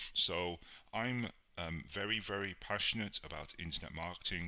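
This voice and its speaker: With a British accent, a man talks in a bright, sharp tone with ordinary pitch variation. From UK. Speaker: online marketing instructor. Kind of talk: tutorial.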